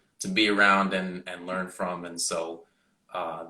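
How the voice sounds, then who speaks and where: A man's very deep, low voice at a very slow pace, with audible room echo. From Canada, Mississauga Ontario. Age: young. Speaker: music student, trumpet player. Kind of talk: interview. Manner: halting, many fillers.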